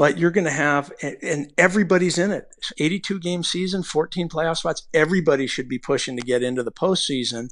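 This man has an unremarkable speaking voice, fairly high in pitch. He talks at a fairly quick pace with ordinary pitch variation. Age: 50s. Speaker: baseball pitching coach. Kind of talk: casual interview.

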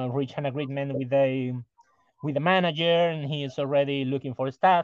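The pitch of this male voice is fairly high. It rises and falls in an ordinary way. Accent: Spanish. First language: Spanish. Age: 40s. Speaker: rock musician. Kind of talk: interview. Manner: halting, many repetitions.

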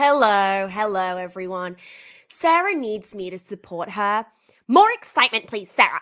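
Speaking with an Australian accent at a moderate pace, a woman uses a bright, sharp tone at medium pitch, with lively intonation and big swings in loudness, in a very clean recording with a silent background. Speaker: podcast co-host. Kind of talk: casual chat.

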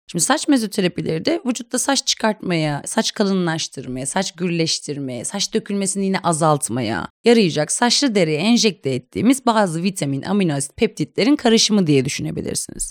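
With very wide pitch swings, a woman at medium pitch talks at a fairly quick pace with hardly any pauses, in a dry, close sound with no echo and a very clean recording over a silent background. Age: 30s. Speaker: doctor in aesthetic medicine. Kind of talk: interview explaining treatments.

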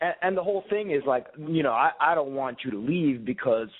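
A man with a normal speaking voice talks at a fairly quick pace. His intonation is lively. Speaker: caller. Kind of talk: casual phone chat. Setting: internet voice call.

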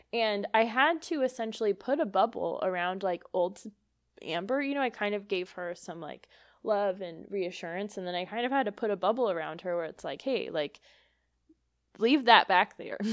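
A woman speaks at a medium pitch with lively intonation and big swings in loudness. Her pace is moderate, an ordinary speaking voice over a quiet background. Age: 20s. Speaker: psychic medium podcast host. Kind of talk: casual solo monologue.

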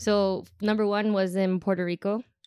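A woman talks with an American accent. Her pitch sits in the medium range. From Chicago. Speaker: event tour manager. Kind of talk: casual chat.

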